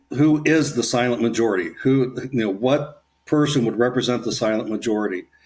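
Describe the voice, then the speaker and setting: A man with an ordinary speaking voice talks at a fairly quick pace with an American accent. His pitch is medium, with ordinary variation. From Ohio, Kettering near Dayton. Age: 60s. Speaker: author and leadership coach. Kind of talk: casual interview.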